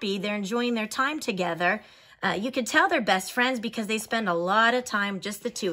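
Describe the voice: Plain reading aloud, the pitch varying in an ordinary way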